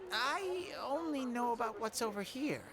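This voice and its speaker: A female-sounding, put-on character voice at a fairly high pitch, with clear background noise. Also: moderate pace. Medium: video game. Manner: bubbly, exclamatory.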